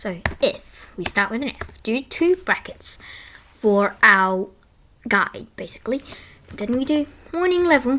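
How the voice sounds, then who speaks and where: A woman speaks quietly in a bright, sharp tone. Her pitch swings very widely. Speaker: coding tutorial youtuber. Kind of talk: tutorial. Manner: halting.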